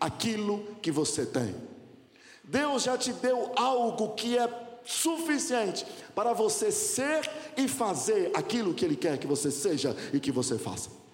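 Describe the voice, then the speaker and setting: A man's extremely high-pitched voice with very wide pitch swings at a fairly slow pace, plus audible room echo and noticeable background noise. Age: 40s. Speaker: pastor. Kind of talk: sermon.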